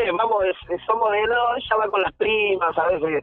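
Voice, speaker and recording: A man speaks in a raised, projected voice at a high pitch. Noticeable background noise is present. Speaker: youth football coach. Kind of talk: radio interview. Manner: halting.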